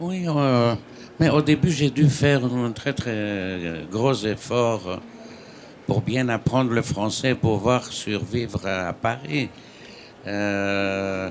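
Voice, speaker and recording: A man with a Greek accent at a very slow pace and with lively intonation. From Greece. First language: Greek (speaking French). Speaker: novelist. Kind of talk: panel discussion.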